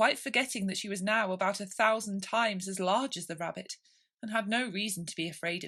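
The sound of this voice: With a quiet background behind it, an unforced reading voice is heard.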